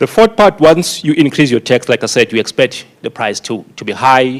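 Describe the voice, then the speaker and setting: Speaking with a South African accent, a man keeps a moderate pace at a medium pitch. His voice makes very wide pitch swings, recorded dry and close with no echo. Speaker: conference speaker on tobacco taxation. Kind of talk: conference presentation.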